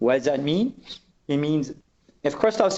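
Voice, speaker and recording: Lively intonation fills a man's speech, pitched fairly high. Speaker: product manager presenting a webcast. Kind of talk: technical webcast presentation. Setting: online webcast call. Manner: fast.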